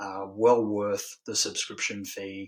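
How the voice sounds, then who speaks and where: The speaker is a man. He talks with an Australian accent. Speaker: wrestling podcast host. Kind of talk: solo podcast review. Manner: monotone; hesitant, many filler ums.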